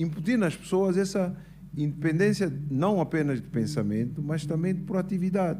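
Music plays behind a man speaking at a moderate pace. His pitch is fairly high, with ordinary variation. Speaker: businessman and engineer. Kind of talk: interview at live show. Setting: stage with audience.

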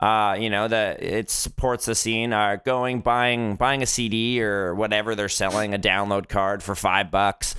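Very clean with a silent background, the recording has a man speaking at a fairly slow pace and a fairly low pitch, in a bright, sharp tone with monotone, flat intonation and hardly any pauses. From Fort McMurray, Alberta, Canada. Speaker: podcast co-host and musician. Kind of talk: casual chat.

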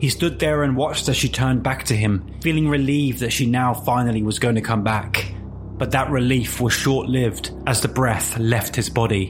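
With music in the background, a man with a British accent talks at a moderate pace in a medium pitch with ordinary pitch variation. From England. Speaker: podcast host and storyteller. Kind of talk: scripted narration of urban legend, with dramatized fiction passages. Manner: hushed, suspenseful, measured horror storytelling.

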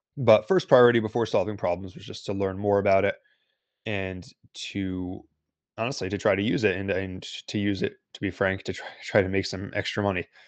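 In an ordinary speaking voice, a man with an American accent talks at a fairly quick pace and fairly low pitch with fairly even intonation. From United States. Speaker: crypto analyst and newsletter writer. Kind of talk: casual interview.

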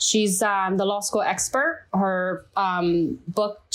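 A medium-pitched woman's voice with a Chinese accent and ordinary pitch variation, very cleanly recorded against a silent background. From China. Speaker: listener guest. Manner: halting.

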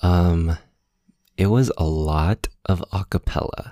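A man's very deep, low voice with a dark, mellow tone and fairly even intonation, in a Californian accent, dry and close with no echo. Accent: Californian American English. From Los Angeles, San Gabriel Valley. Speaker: musician and video maker. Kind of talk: casual chat. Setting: video call.

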